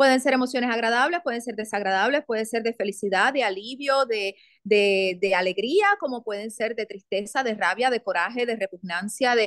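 With an unremarkable speaking voice, a woman talks at a moderate pace and fairly high pitch, using lively intonation against a quiet background and a dry sound with no echo. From Puerto Rico. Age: 40s. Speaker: actress and theatre producer; actress. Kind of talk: interview conversation. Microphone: video call.

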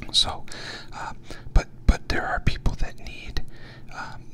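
A soft-spoken man whispers over light background noise. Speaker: podcast host. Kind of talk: reflective podcast monologue. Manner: soft close-mic whisper. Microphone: studio mic.

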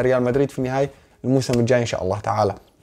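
A man with a Syrian accent. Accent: Syrian (Levantine) Arabic. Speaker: football YouTuber. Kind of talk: casual Q&A. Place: home room.

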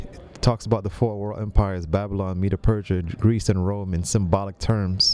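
Showing big swings in loudness, a man with a fairly low pitch speaks at a moderate pace with hardly any pauses and fairly even intonation, in a dry sound with no echo. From Jamaica, raised in New York City. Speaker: director of a health ministry lifestyle center; podcast guest. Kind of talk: interview. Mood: calm, earnest. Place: studio. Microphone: studio mic.

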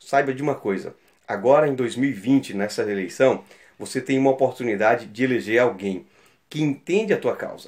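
A man's intonation is lively, set against a quiet background. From Brazil, São Luís do Maranhão (Northeast); Maranhão, Brazil. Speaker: local election candidate; election candidate. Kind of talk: campaign appeal. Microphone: phone near.

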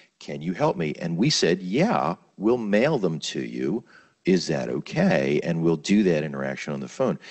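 Against a quiet background, a man with an American accent speaks at a moderate pace, his very deep, low voice showing vocal fry and lively intonation. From Baltimore, US. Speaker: physician, medical director; panelist. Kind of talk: webinar panel talk. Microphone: handheld.

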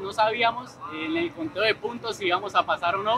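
Over noticeable background noise, a man speaks in a raised, projected voice. His pace is moderate and his pitch variation ordinary. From Colombia. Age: 20s. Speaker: esports player. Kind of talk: interview testimony. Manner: hesitant, many fillers. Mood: happy, emotional, grateful. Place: hall.

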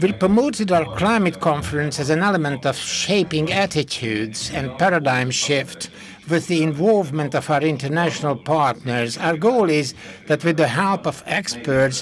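Light background noise behind a male speaker at moderate speed. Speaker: conference host. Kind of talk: formal welcome speech. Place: hall. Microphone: podium.

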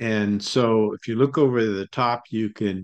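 A man speaks at a fairly low pitch in a monotone, flat intonation. The background is quiet. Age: old. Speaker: company CEO, channel host; company CEO host. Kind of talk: screen-share commentary. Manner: hesitant, filler-heavy. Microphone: webcam.

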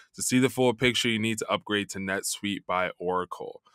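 A man with a fairly low pitch and a bright, sharp tone speaks at a fairly quick pace with fairly even intonation, the sound dry with no echo against a quiet background. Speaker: podcast host. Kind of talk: sponsor ad read. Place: studio. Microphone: studio mic.

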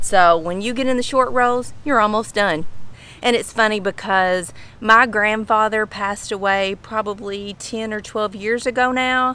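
A woman speaks with a bright, sharp tone and fairly even intonation. The sound is dry, with no echo. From Kentucky. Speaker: lifestyle vlogger. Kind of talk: casual talk to camera. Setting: outdoors. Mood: warm, amused. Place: garden. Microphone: phone near.

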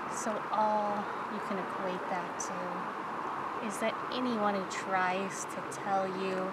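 Through loud background noise, a woman speaks at a very slow pace with long, frequent pauses, in a dry sound with no echo. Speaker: ASMR creator. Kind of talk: ASMR soft-spoken reflective monologue. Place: waterside.

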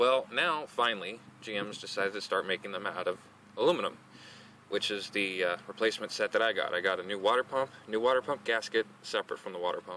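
A man talks at a very fast pace with a fairly low pitch and ordinary pitch variation, the sound dry with no echo and light background noise. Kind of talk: tutorial. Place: street. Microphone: phone near.

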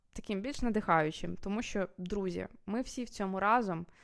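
This very clean recording, with a silent background, features a woman at a medium pitch. She speaks at a moderate pace with ordinary pitch variation. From Kyiv, Ukraine. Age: 20s. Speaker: video blogger. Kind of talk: personal vlog monologue. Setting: recorded at night at home. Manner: casual, with fillers and hesitations.

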